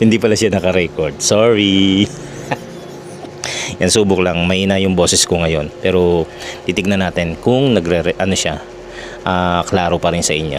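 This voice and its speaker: A man's very deep, low voice with fairly even intonation, long, frequent pauses, and noticeable background noise. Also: moderate pace. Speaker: vlogger. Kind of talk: casual vlog, unboxing and mic test. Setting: at home, cooking. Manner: soft-spoken; halting.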